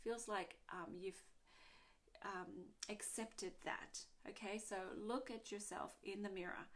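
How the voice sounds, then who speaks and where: A woman at a medium pitch, talking very slowly with fairly even intonation. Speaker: energy healing coach. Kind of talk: casual talk to camera. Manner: hesitant, filler words.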